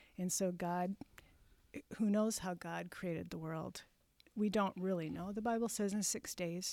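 A woman with an American accent speaks at a fairly slow pace, with long, frequent pauses. Her medium pitch carries a dark, mellow tone and fairly even intonation. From US Midwest, finished school in South Dakota. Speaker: middle school science teacher and church music leader. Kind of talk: casual interview.

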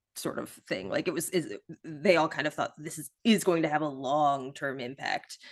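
Against a quiet background, a woman with an American accent speaks at a moderate pace in a very deep, low voice, with ordinary pitch variation, big swings in loudness and hardly any pauses. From US Midwest. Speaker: journalist. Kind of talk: casual chat.

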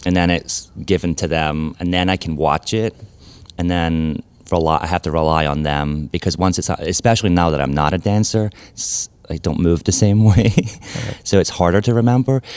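A man speaks with an American accent at a moderate pace. His pitch is very deep and low, with ordinary variation. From Scotland, Glasgow. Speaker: ballet artistic director and choreographer. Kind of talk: interview conversation.

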